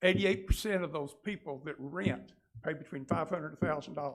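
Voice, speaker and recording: In a Southern US accent, a man speaks at a fairly quick pace with ordinary pitch variation. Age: 70s. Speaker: real estate agent. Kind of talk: public comment. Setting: city council meeting. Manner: halting.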